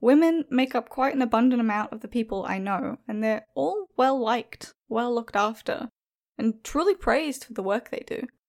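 A woman with an Australian accent talks at a moderate pace, her high pitch showing ordinary variation. The sound is dry and close with no echo, and her loudness swings widely. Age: young. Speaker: horror story narrator. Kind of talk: reading prepared answers.

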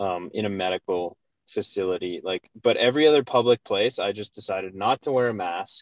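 Using a normal speaking voice with a Canadian accent, a man talks in a fairly low pitch with ordinary pitch variation, the sound dry and close with no echo. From Canada, Alberta (Calgary). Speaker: firefighter paramedic. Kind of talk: casual interview.

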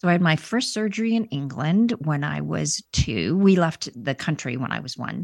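A woman's very deep, low voice with vocal fry and lively intonation, dry and close with no echo, in a very clean recording with a silent background. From India. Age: 50s. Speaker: author and polio survivor. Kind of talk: testimony.

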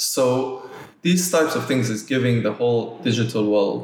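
Over noticeable background noise, a man speaks at a fairly slow pace in a medium pitch with ordinary pitch variation. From Nigeria, Lagos. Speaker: art gallery director. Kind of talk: interview conversation.

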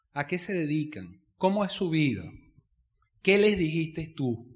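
A man's animated tone at a fairly slow pace, with ordinary pitch variation. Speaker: network marketing business speaker. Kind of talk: seminar talk.

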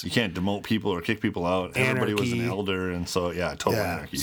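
In a Minnesotan accent, a man with a very deep, low pitch and ordinary pitch variation talks very fast over noticeable background noise. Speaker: podcast co-host.

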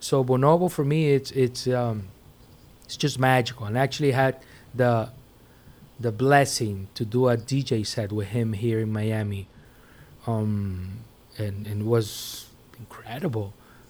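Speaking fairly slowly in a Spanish accent, a man with a medium pitch leaves long, frequent pauses. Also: ordinary pitch variation. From Venezuela. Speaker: DJ and music producer. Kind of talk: casual interview.

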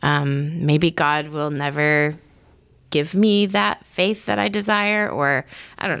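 In an American accent, a woman speaks at a fairly slow pace with a very deep, low pitch and lively intonation, on a very clean recording with a silent background. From Michigan, US Midwest. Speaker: missionary. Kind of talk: casual chat.

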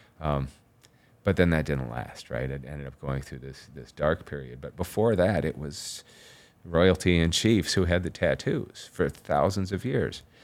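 On a very clean recording with a silent background, a man with a very deep, low voice speaks at a moderate pace with an American accent. His delivery has vocal fry, lively intonation and big swings in loudness. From Chicago suburbs. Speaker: tattoo artist and painter. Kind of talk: interview.

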